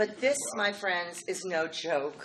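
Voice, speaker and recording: A woman with a fairly low voice speaks in an animated tone with lively intonation, over noticeable background noise. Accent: American. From New York City, Queens. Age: 60s. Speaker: political organization president. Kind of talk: speech. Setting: dinner event with audience.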